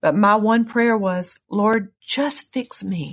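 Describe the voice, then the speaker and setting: Somewhat breathy and at medium pitch, a woman speaks in a Southern US accent with ordinary pitch variation. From US South. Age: 50s. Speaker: pastor. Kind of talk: testimony.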